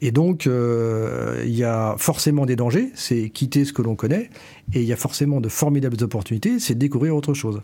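Talking at a fairly quick pace, a man has a medium pitch and a dark, mellow tone. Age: 50s. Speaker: company director. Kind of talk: interview. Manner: halting.

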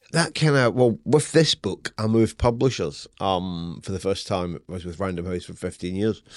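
Against a quiet background, a man with a very deep, low voice speaks at a moderate pace with hardly any pauses, lively intonation and big swings in loudness. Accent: Scottish. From Scotland. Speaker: novelist. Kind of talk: casual interview chat. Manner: animated, profane.

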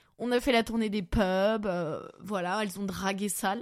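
An animated woman's voice at a medium pitch, on a very clean recording with a silent background. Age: 30s. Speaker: comedian and podcast host. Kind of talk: casual chat. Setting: home recording, bedroom.

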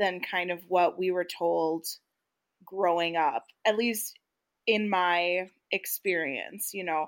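In a very clean recording with a silent background, a woman with a normal speaking voice talks fairly slowly at a medium pitch with fairly even intonation. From US Midwest. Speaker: podcast co-host. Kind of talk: casual chat.

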